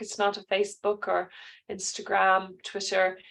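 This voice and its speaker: A woman's medium-pitched voice in an Irish accent over a quiet background. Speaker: careers adviser. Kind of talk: online class.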